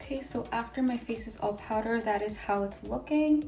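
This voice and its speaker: A woman speaks in an upbeat tone while music plays in the background. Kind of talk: makeup tutorial talk to camera. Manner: casual, upbeat.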